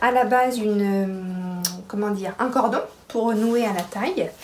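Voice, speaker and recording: A woman at a very slow pace amid noticeable background noise and audible room echo. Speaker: sewing podcaster. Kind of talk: casual chat.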